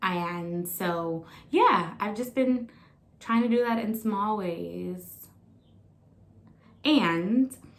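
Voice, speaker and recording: With long, frequent pauses, a woman speaks in an animated tone with ordinary pitch variation. Noticeable background noise and audible room echo are present. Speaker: vlogger. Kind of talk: casual weekly diary vlog.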